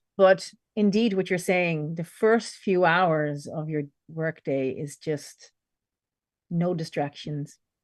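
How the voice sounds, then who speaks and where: Against a quiet background, a woman speaks very slowly in a fairly low voice with ordinary pitch variation. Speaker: podcast host. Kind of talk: interview conversation.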